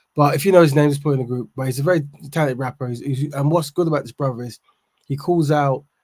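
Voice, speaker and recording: A man's somewhat breathy voice, fairly high in pitch and dark, mellow in tone, at a very fast pace. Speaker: livestream host. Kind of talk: livestream discussion. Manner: halting.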